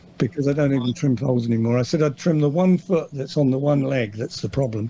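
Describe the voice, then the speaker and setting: With an English accent, a man speaks at a very fast pace. His medium-pitched voice shows ordinary pitch variation. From England. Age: 60s. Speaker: farrier. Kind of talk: podcast interview. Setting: video call.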